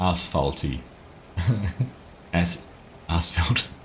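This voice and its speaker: Over noticeable background noise, a man speaks at a very slow pace with a very deep, low pitch. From New Zealand. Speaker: gaming live streamer. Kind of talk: live stream commentary. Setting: live stream. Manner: casual, chatty.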